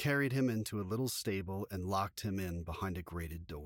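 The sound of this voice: The clip carries an unforced reading voice.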